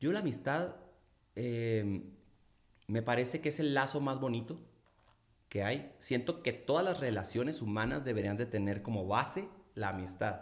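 In a room with audible echo, a man of medium pitch uses lively intonation and very even loudness at a moderate pace, with long, frequent pauses. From Mexico, Culiacán, Sinaloa. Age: 40s. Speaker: singer-songwriter. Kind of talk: casual interview chat.

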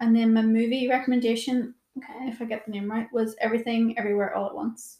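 In a Northern Irish accent, a woman with a fairly high pitch and a dark, mellow tone speaks very fast in a monotone, flat intonation. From Northern Ireland, Portadown. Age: 20s. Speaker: yoga teacher. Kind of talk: casual chat.

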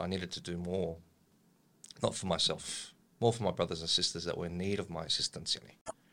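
At a fairly quick pace, a man with an Australian accent speaks in a very deep, low pitch with a bright, sharp tone and fairly even intonation. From Australia, Lebanese family. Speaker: political analyst and volunteer. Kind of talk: casual interview.

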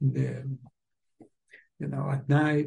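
In a fairly high pitch with a Spanish accent, a man speaks fairly slowly in a dark, mellow, somewhat breathy tone with ordinary pitch variation. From Uruguay. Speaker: musicology professor. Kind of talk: interview.

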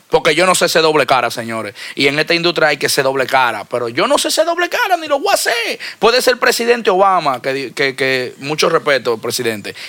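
Lively intonation and a very fast pace mark this man's fairly high-pitched speech, heard over noticeable background noise. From Dominican Republic. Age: 30s. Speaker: music label owner. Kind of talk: casual interview.

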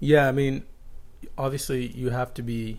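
A man at a medium pitch is heard with audible room echo. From Florida, US (moved from Dubai at 13). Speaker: finance professional. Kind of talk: casual interview.

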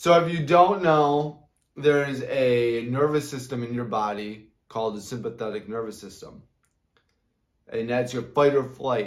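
Speaking at a fairly slow pace, a man shows ordinary pitch variation and big swings in loudness. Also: medium pitch for a man. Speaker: podcast host, health and motivation. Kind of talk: motivational monologue. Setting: studio with whiteboard, on video. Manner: animated.

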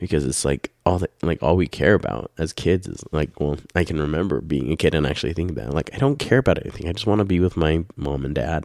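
Very deep and low with vocal fry, a man's voice races at a very fast pace with hardly any pauses, in a dry, close sound with no echo. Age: 30s. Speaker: podcast host and parent running a family business. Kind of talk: casual chat. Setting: home podcast with spouse.

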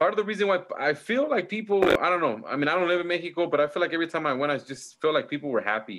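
Speaking very fast with hardly any pauses, a man with an American accent uses a high pitch and lively intonation. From Southern California (Bloomington). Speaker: podcast host. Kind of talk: casual chat.

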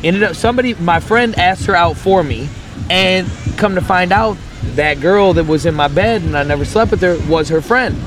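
A man speaks at a fairly quick pace with a high pitch and ordinary pitch variation. His loudness stays very even, and there is noticeable background noise. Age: 30s. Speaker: podcast guest. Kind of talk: casual chat. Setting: outdoors in a park.

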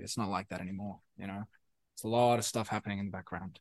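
Over a quiet background, a man with a South African accent talks at a very fast pace in a fairly low pitch with monotone, flat intonation. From South Africa, Pretoria. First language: Afrikaans. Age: 20s. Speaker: musician. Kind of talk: casual chat. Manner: halting, many fillers and repetitions.

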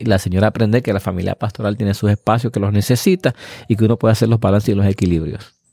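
A man with a fairly low voice and a dark, mellow tone talks over a silent background in a very clean recording. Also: dry, close sound with no echo. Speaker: pastor and counselor. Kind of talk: casual chat. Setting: outdoors in countryside house.

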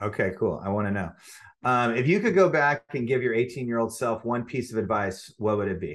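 This is a plain, everyday voice, a man at a medium pitch with ordinary pitch variation. He moves at a fairly quick pace over a quiet background. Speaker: podcast host, agency CEO. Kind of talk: interview.

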